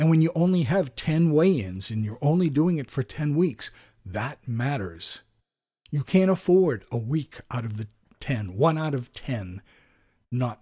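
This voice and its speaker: On a very clean recording with a silent background, a man speaks fairly slowly in a dark, mellow, somewhat breathy tone with very wide pitch swings. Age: 50s. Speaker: podcast host, personal trainer and diet coach. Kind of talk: casual monologue.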